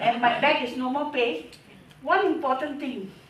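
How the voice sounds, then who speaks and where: Noticeable background noise and audible room echo accompany a woman's voice. She speaks at a fairly slow pace with lively intonation. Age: 60s. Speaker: customer giving testimonial. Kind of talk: testimony.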